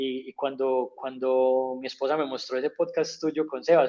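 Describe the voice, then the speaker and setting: A man speaks with an Antioquian accent. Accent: paisa. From Colombia, Antioquia (paisa). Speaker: humanitarian worker. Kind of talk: interview.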